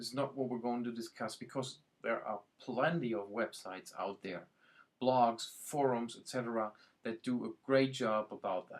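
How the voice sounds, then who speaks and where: Male speech in a German accent with big swings in loudness. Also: medium pitch for a man, fairly even intonation, moderate pace. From Germany. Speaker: IT and productivity consultant. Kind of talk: website introduction video. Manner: hesitant, with many fillers.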